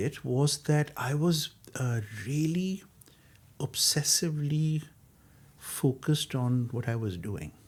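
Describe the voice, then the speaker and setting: A man's somewhat breathy, fairly high voice at a fairly slow pace, with lively intonation and long, frequent pauses, on a very clean recording with a silent background. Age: 60s. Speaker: architect. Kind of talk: interview. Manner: hesitant, with many fillers.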